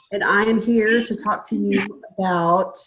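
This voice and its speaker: Speaking with a Texan accent, a woman keeps a fairly slow pace. Her pitch is medium, with ordinary pitch variation. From Texas, small town east of Dallas. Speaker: registered nurse presenting a supplement product. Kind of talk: sales pitch. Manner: halting.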